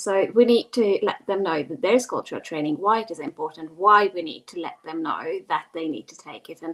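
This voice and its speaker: Over noticeable background noise, a woman with a Hungarian accent talks at a fairly quick pace in a medium pitch. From Hungary. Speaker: global mobility professional. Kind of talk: panel discussion.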